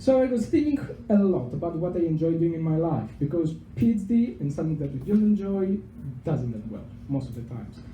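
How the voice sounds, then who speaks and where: A man with a Greek accent and a dark, mellow tone, fairly quick, with very wide pitch swings and audible room echo. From Greece, Thessaloniki. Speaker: PhD researcher. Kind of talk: public talk. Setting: pub venue with audience, microphone.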